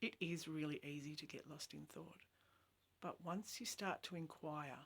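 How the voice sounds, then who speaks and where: Vocal fry runs through a woman's very deep, low voice, which has ordinary pitch variation. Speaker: spiritual teacher. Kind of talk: spiritual talk. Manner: slow.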